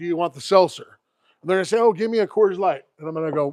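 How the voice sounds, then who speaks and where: This loud voice moves with ordinary pitch variation. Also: man, dry, close sound with no echo. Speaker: classic car YouTuber. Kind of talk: live stream chat. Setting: outdoors.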